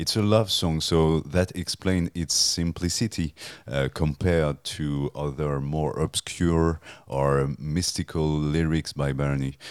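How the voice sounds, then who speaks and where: A man with a French accent speaks at a very slow pace with a very deep, low pitch and fairly even intonation. The sound is dry and close, with no echo. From France. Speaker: music journalist and author. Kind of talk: interview. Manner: halting, hesitant, many fillers.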